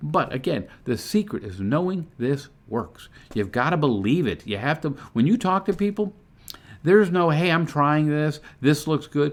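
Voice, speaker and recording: Very wide pitch swings from a man at a fairly high pitch and moderate pace, on a very clean recording with a silent background. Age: 60s. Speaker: online business promoter and car dealership service manager. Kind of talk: motivational vlog talk. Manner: casual, conversational.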